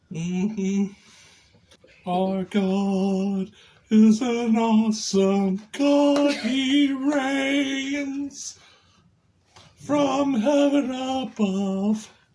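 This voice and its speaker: This is a cartoonish character voice. It sits at a fairly high pitch. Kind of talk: crude comedy puppet bit. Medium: puppet.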